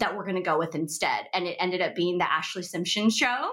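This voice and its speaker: A woman talks at a fairly quick pace with ordinary pitch variation. She has an ordinary speaking voice. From Seattle, US. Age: 30s. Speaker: actress and entrepreneur. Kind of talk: casual chat.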